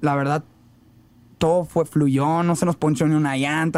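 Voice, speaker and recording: In a very clean recording with a silent background, a normal speaking voice moves at a fairly quick pace with fairly even intonation. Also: man. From Mexico, Ciudad Obregón, Sonora. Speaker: rapper. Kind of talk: casual interview chat.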